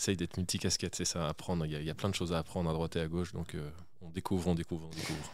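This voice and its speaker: Speaking at a very fast pace, a man delivers his words in a very deep, low pitch with monotone, flat intonation. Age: 30s. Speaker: start-up CEO. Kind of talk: interview. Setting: studio. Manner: halting.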